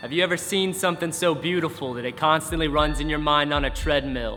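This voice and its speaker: A man's fairly high voice, with ordinary pitch variation, sounds over background music. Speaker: spoken word poet. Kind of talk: spoken word poetry performance.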